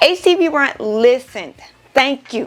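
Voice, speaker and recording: A woman is speaking. Her tone is animated and her intonation lively. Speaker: small business crafter and product reviewer; product reviewer. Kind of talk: product review tutorial. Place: home room. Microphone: lapel.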